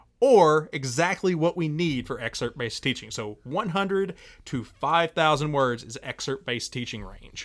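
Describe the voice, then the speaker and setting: A man talks with a normal speaking voice at a fairly high pitch. His intonation is lively and his pace is moderate. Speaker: high school English teacher and podcast host. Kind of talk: casual podcast discussion on teaching.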